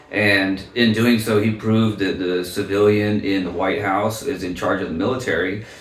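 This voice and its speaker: Over noticeable background noise and audible room echo, a man with an American accent talks at a moderate pace, with hardly any pauses and fairly even intonation. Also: fairly low pitch for a man. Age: 30s. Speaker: political candidate. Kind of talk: interview. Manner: halting, many fillers.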